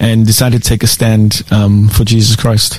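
Over noticeable background noise, a man with a medium-pitched voice talks at a fairly slow pace. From South Africa. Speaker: school principal. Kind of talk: casual interview chat.

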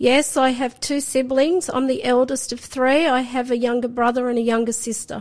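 High-pitched and fairly even in intonation, a woman speaks. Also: moderate pace, hardly any pauses. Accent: Australian. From Sydney, Australia. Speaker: guest sharing faith testimony. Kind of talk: testimony.

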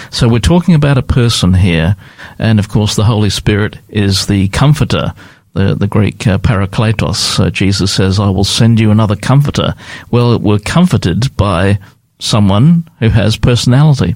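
With an unremarkable speaking voice, a man talks at a moderate pace with a fairly low pitch, ordinary pitch variation, and very even loudness. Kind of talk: radio interview, religious talk.

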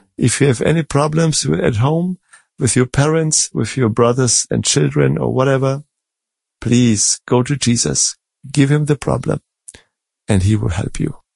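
In a German accent, a man talks with lively intonation and a somewhat breathy voice. The sound is dry and close, with no echo. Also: medium pitch for a man, moderate pace. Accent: German-flavored English. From Germany, born in Czech Republic. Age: 50s. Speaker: Bible study moderator. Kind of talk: Bible study discussion.

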